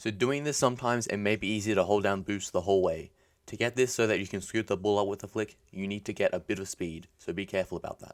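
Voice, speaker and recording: A man's fairly low voice, very fast and fairly even in intonation, on a very clean recording with a silent background. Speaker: gaming tutorial youtuber. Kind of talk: tutorial.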